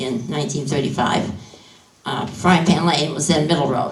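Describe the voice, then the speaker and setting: With a New England accent, a woman talks with ordinary pitch variation amid noticeable background noise and audible room echo. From New Hampshire seacoast. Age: 70s. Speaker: farmer. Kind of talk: panel discussion. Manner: halting.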